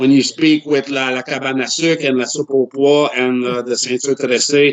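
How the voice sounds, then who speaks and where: A man with a slight Quebec accent and fairly even intonation. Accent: slight Quebecois accent, worked on. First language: French. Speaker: wrestler and actor. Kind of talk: casual chat.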